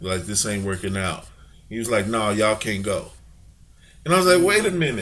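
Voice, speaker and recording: Amid audible room echo, a man speaks very fast with a fairly low pitch and lively intonation. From Chicago, US Midwest. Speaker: rapper's father and manager, entrepreneur. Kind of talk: casual interview.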